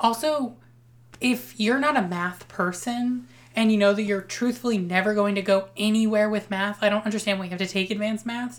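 This is a normal speaking voice with ordinary pitch variation. It moves at a fairly quick pace. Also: woman, medium pitch for a woman. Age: 20s. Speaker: podcast co-host. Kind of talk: casual chat.

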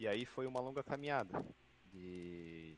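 Pitch varies in an ordinary way as a man talks very slowly. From Santa Catarina, Brazil (Joinville). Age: 30s. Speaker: esports team president. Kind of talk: casual chat.

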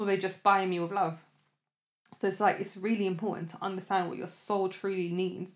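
A woman with a London accent speaks at a fairly quick pace and a medium pitch, her intonation monotone and flat while her loudness swings widely. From West London (Shepherd's Bush), North African family. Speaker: podcast host. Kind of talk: casual chat.

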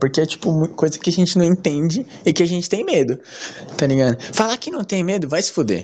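Delivered at a very fast pace, the speech has lively intonation. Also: man. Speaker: podcast co-host. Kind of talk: casual chat. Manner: animated.

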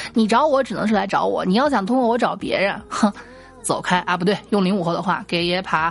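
Over noticeable background noise, a woman talks at a fairly quick pace in a medium-pitched voice with ordinary pitch variation. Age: 30s. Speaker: podcast host. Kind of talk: casual monologue. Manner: animated.

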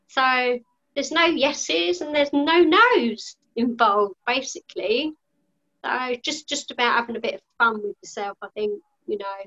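A woman at a high pitch uses a raised, projected voice at a moderate pace, with very wide pitch swings and big swings in loudness, in a dry, close sound with no echo. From UK. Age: 50s. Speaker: guest, hobbyist artist.

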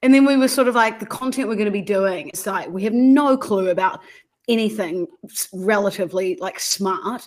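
Lively intonation marks this moderate-paced speech in an Australian accent. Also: woman, fairly high pitch for a woman. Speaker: podcaster and content creator, former radio producer. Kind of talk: casual chat.

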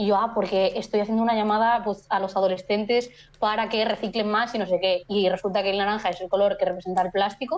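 A woman's very fast, monotone, flat delivery at medium pitch. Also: hardly any pauses. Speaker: photographer and photography teacher. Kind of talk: casual chat. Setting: live stream.

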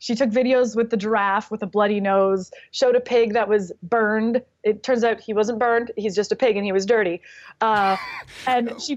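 In an unremarkable speaking voice, a woman talks at a moderate pace with fairly high pitch and fairly even intonation. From Canada. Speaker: comedian and YouTuber. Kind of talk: casual chat.

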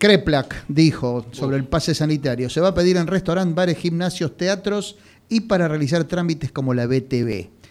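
A man's a normal speaking voice, fairly high in pitch, with ordinary pitch variation and a moderate pace. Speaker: radio journalist. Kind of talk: radio news reading and interview. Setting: radio studio.

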